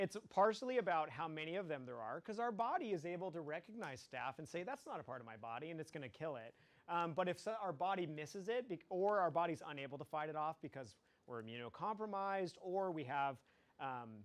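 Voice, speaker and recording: At a fairly quick pace, a man speaks in a high voice with very wide pitch swings. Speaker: biology teacher. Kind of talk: lecture. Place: classroom.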